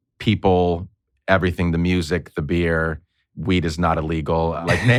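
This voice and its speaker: In a very clean recording with a silent background, a man with a Northeastern US accent speaks at a moderate pace in a very deep, low pitch. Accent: Northeastern US way of talking. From grew up overseas, from New York. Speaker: podcaster and consultant. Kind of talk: interview conversation. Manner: animated; casual, swears.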